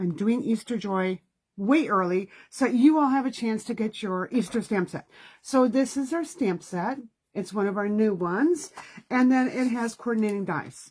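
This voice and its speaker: In a very clean recording with a silent background, a woman speaks in a somewhat breathy voice with lively intonation. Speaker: card-making instructor. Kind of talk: live-streamed craft class. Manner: fast; chatty, with many fillers.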